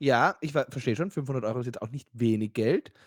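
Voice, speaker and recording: A normal speaking voice at a moderate pace with ordinary pitch variation, in a dry, close sound with no echo. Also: man. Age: 30s. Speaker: podcast co-host. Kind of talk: casual chat.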